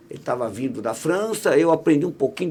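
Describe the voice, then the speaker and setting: A man speaks at a high pitch and a fairly quick pace. Noticeable background noise is present. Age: 60s. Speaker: radio broadcaster and academic. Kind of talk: podcast interview conversation. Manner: halting, many restarts.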